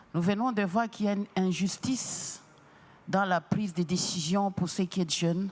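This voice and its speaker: The fairly slow speech comes through in a very clean recording with a silent background. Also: woman. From DR Congo. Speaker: audience member asking a question. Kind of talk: press conference question. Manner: halting.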